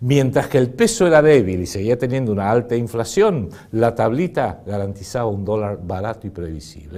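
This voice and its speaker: On a very clean recording with a silent background, a man speaks at a fairly quick pace in a medium pitch. His intonation is lively, and his loudness swings widely. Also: hardly any pauses. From Argentina. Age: 60s. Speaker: political commentator. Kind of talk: political commentary monologue. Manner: animated.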